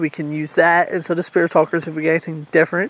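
Music plays in the background as a man talks in a high pitch, the sound dry with no echo. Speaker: paranormal explorer vlogger. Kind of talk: casual vlog chat. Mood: calm, slightly tense. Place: forest. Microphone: phone near.

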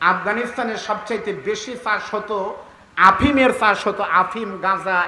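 The voice is raised and projected. Its pitch variation is ordinary. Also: man. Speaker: Islamic preacher (waz speaker). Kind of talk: Bangla waz sermon to a crowd. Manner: oratorical, rhetorical, emphatic.

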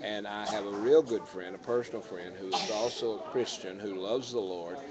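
Crowd noise fills the background as a man with an American accent talks with ordinary pitch variation. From United States. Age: 60s. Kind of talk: live talk show. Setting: live stream recorded on a tablet. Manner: folksy.

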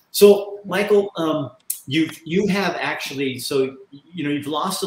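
In a room with audible echo, a man with an American accent speaks with lively intonation at a fairly high pitch. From Oregon. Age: 60s. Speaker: talk show host. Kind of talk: casual interview. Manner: animated. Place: home room. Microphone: webcam.

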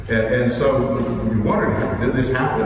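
Strong room echo and noticeable background noise surround a man talking at a fairly quick pace. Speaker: lawyer giving a funeral eulogy. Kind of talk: eulogy at a funeral, anecdotal talk. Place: church. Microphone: podium.

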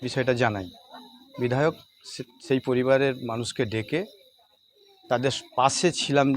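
This is a normal speaking voice. Its pitch variation is ordinary. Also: man. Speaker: local party official. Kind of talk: news interview statement.

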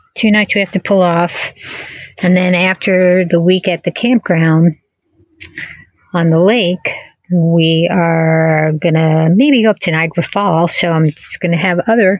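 Over a quiet background, the voice keeps a fairly slow pace, fairly even intonation and very even loudness, with a dry sound and no echo. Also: woman, fairly low pitch for a woman. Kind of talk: casual vlog chat. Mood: relaxed, self-deprecating. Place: car. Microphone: phone near.

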